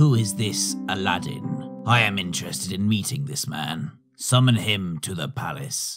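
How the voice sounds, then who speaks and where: A man performs in a cartoonish character voice. Faint music plays behind him. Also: fairly low pitch for a man, moderate pace. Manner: regal, commanding.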